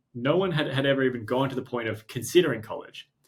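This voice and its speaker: A man talks at a fairly quick pace and medium pitch, with ordinary pitch variation. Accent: strong Australian. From Australia. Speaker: startup co-founder and CEO. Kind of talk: interview conversation. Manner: halting, many repeated words.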